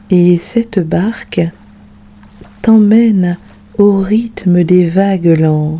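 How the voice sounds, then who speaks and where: The speech comes at a very slow pace with long, frequent pauses, over noticeable background noise. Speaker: meditation guide. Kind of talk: guided sleep meditation.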